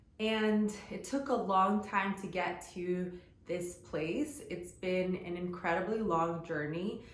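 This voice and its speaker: Against noticeable background noise and audible room echo, a woman speaks at a very slow pace with a medium pitch and ordinary pitch variation. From US, Guatemalan immigrant family. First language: Spanish. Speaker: lifestyle vlogger. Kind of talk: personal storytelling vlog. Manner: casual, conversational with fillers.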